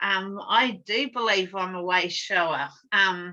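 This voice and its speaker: A woman is speaking with a bright, sharp tone. Her background is quiet. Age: 60s. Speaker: drum-making workshop facilitator. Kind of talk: casual chat. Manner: confident.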